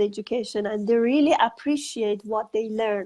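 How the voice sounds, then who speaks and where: A woman's fairly high-pitched voice at a moderate pace. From Iran. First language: Farsi. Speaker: author and educator. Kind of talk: interview. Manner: halting.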